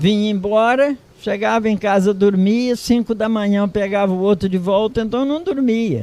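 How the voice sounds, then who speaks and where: Over noticeable background noise, a man speaks in a high pitch with ordinary pitch variation. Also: moderate pace. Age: 80s+. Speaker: retired farmer. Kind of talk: oral history interview.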